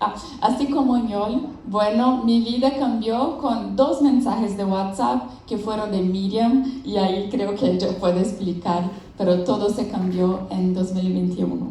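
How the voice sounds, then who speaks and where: Amid noticeable background noise and audible room echo, a woman with a Brazilian accent speaks at medium pitch and a fairly slow pace with ordinary pitch variation. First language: Portuguese (speaking Spanish). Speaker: business founder and researcher. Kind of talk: conference presentation. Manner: halting.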